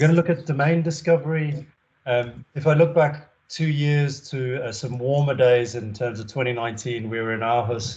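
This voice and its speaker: With a somewhat breathy sound, a man speaks, his pitch rising and falling in an ordinary way. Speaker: web consultant presenting at a company webinar. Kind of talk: presentation with slides on a video call. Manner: fast.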